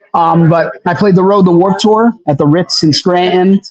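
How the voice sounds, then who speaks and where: A man talks with ordinary pitch variation. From Pennsylvania. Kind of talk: podcast interview. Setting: live stream.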